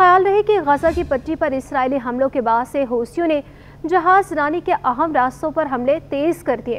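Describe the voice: Her pitch high and her intonation lively, a woman speaks at a moderate pace.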